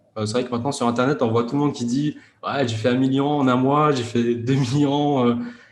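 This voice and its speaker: With hardly any pauses, the speech comes in a monotone, flat intonation amid audible room echo. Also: man, medium pitch for a man, fairly quick pace. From France, Grenoble suburbs. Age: 30s. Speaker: e-commerce entrepreneur. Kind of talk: interview. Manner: hesitant, many fillers.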